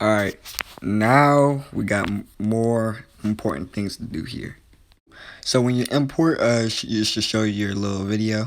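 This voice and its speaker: A man talks in a fairly low voice with ordinary pitch variation. He leaves long, frequent pauses. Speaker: tutorial video maker. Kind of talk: tutorial. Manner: fast; halting, many false starts.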